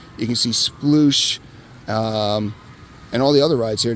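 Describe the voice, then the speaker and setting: A man at a medium pitch and moderate pace, ordinary pitch variation, noticeable background noise behind him. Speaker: amusement park vlogger. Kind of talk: casual talk to camera. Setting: outdoors.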